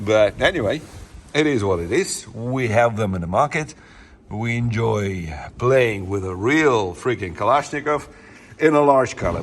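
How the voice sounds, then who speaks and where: A man with a Russian accent talks at a moderate pace and medium pitch with lively intonation. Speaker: gun channel host. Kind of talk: casual video presentation. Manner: halting.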